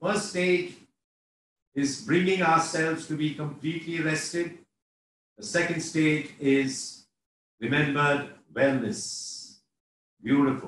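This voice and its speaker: Very slow and with long, frequent pauses, a man talks at a fairly high pitch with ordinary pitch variation. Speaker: meditation guide. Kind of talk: guided meditation. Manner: slow, calm.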